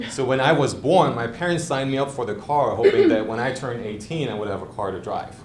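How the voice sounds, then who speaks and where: A man speaks at a fairly quick pace with a German accent, at medium pitch with ordinary pitch variation. Room echo is audible. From East Germany. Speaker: lawyer. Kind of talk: prepared speech. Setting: club meeting with audience.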